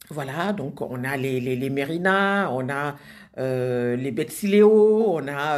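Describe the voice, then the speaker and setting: A woman's voice with very wide pitch swings against a quiet background. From Senegal. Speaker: social media group moderator. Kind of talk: casual live video address. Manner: hesitant, many fillers. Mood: warm, enthusiastic. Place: home room. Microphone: phone near.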